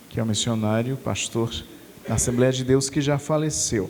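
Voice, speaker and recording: Audible room echo hangs around the man's voice. His pitch sits in the middle, varying in an ordinary way. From Brazil, Natal (Rio Grande do Norte). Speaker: preacher. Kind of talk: sermon.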